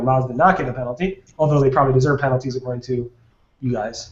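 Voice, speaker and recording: The man's voice is somewhat breathy. He talks at a very fast pace. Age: 30s. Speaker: SEO webinar host. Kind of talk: casual panel discussion. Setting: video call.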